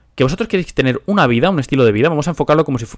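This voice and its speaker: Dry and close with no echo, a man's voice moves at a very fast pace with ordinary pitch variation. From Spain. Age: 20s. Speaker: podcast host and finance investor. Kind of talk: solo monologue podcast.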